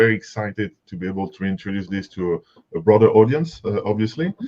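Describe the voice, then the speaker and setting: At a moderate pace, a man speaks with a strong French accent. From France, Paris. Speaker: software company representative. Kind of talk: webinar presentation. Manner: halting, many fillers and repetitions.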